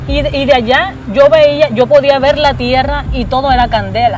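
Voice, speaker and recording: Over noticeable background noise, a woman talks in an animated tone with a high pitch and ordinary pitch variation. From Colombia, Caribbean coast (Cartagena). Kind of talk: testimony.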